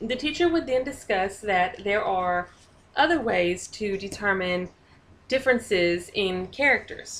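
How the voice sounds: Lively intonation runs through this natural reading voice.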